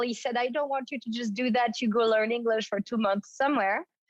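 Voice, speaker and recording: Against a quiet background, a woman speaks in a French accent with ordinary pitch variation. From France, Paris suburbs. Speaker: fitness trainer and former ballerina. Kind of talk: interview storytelling.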